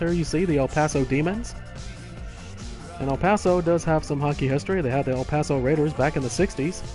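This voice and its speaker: Over background music, a man with an American accent talks at a fairly quick pace in a fairly high pitch, keeping his intonation fairly even. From Texas. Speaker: sports gamer and commentator. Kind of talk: casual gameplay commentary on a live stream.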